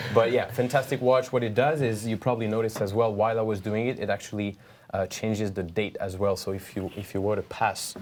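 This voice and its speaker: In a French accent, a man speaks at a very fast pace. His voice sits fairly low, and his intonation stays fairly even. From France. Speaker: watch brand training manager. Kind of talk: product demonstration. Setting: studio.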